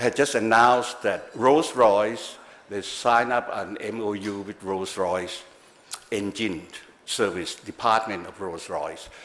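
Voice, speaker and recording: The man talks fairly slowly at a fairly low pitch with ordinary pitch variation. His loudness swings widely, and there is noticeable background noise. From Thailand. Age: 60s. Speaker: government policy adviser. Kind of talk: speech. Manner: halting.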